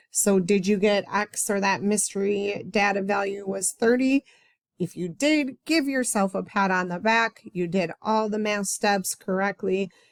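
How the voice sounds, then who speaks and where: A woman with an ordinary speaking voice talks at medium pitch and a fairly slow pace with ordinary pitch variation, recorded very cleanly against a silent background with a dry, close sound and no echo. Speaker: math teacher. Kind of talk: tutorial. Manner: casual.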